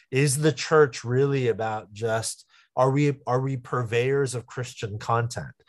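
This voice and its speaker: An unremarkable speaking voice, this man's has a medium pitch, fairly even intonation and an American accent, delivered at a fairly slow pace in a very clean recording with a silent background. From US West Coast, San Jose. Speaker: pastor. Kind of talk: interview.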